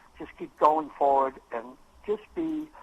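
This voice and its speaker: Swinging very widely in pitch, a man with an American accent speaks at a moderate pace in a fairly high voice. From Cambridge, Massachusetts. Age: 80s+. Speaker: sports promoter and manager. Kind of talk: radio interview. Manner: halting, many fillers.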